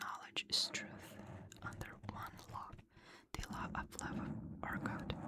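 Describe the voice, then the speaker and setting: A woman whispers at a fairly slow pace while noticeable background noise continues. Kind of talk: ASMR sleep reading from a book. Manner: whispered, soft-spoken.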